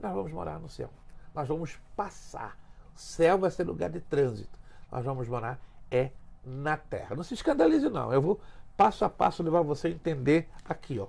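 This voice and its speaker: A man with a fairly high pitch and vocal fry speaks at a moderate pace with lively intonation. His loudness swings widely, and he takes long, frequent pauses. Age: 60s. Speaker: pastor. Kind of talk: teaching talk in podcast interview. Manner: emphatic.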